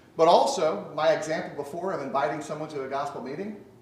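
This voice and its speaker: A man with an American accent, fairly high pitch and moderate pace, amid noticeable background noise and audible room echo. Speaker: preacher. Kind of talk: sermon. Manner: loud.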